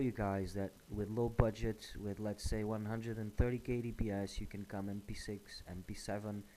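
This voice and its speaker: A man with a Portuguese accent talks at a fairly slow pace in a dark, mellow tone, with a fairly low pitch and monotone, flat intonation. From Portugal. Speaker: gaming YouTuber. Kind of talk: gameplay tutorial. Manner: hesitant, many fillers.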